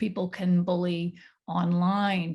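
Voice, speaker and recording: Over a quiet background, a woman with a fairly low pitch speaks in a somewhat breathy voice with a dark, mellow tone. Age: 60s. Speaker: panelist. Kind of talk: casual chat.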